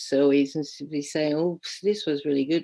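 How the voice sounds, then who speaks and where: Against a quiet background, a woman with a Hungarian accent speaks at a moderate pace in a very deep, low pitch. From Hungary. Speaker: teacher educator. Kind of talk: keynote speech. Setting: online conference. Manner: hesitant, many repetitions and fillers.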